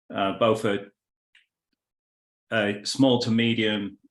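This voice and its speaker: A man speaks with a British accent. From California. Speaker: business consultant. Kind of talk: business introduction in online meeting.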